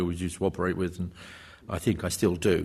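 A man with a very deep, low voice talks at a very fast pace, somewhat breathy, over a quiet background. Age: 70s. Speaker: historian, professor. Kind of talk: panel talk and Q&A answers. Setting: university lecture hall with audience.

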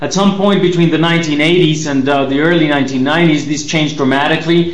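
Moderate pacing and fairly even intonation, with noticeable background noise behind the voice. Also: man. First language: Spanish. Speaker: government security spokesman. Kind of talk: formal lecture presentation. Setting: video link from Mexico, remote.

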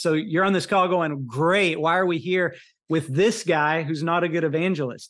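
A man with an American accent and a high pitch. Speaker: college minister and adjunct professor. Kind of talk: webinar talk. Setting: video call.

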